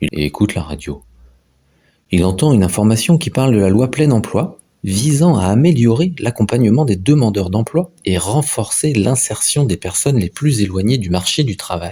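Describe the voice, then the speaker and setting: A man with a fairly low pitch and a dark, mellow, somewhat breathy tone shows very wide pitch swings on a very clean recording with a silent background. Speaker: voice-over narrator. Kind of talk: animated explainer narration.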